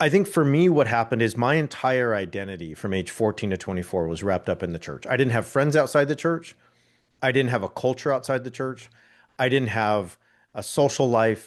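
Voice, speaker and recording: Lively intonation and a fairly quick pace mark this speaker with an American accent, heard against a quiet background. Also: man, medium pitch for a man. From Southern California (near Anaheim). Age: 40s. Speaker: podcaster and writer. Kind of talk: interview conversation. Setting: podcast interview. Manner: repeats words, halting starts.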